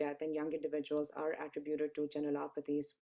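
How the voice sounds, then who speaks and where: Soft-spoken, a woman with a very deep, low pitch and a dark, mellow tone talks at a very fast pace. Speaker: cardiologist lecturer. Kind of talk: lecture. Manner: hesitant fillers.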